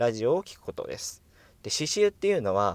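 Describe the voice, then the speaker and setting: A man is speaking. The recording is very clean, with a silent background and a dry, close sound without echo. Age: 20s. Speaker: actor and radio personality. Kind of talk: solo casual monologue.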